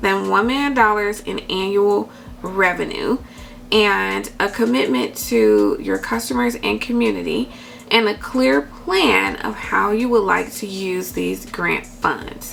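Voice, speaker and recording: Speaking very slowly, a woman is heard. Noticeable background noise is present throughout. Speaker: YouTuber giving business grant advice. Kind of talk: tutorial with screen recording. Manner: casual, many fillers.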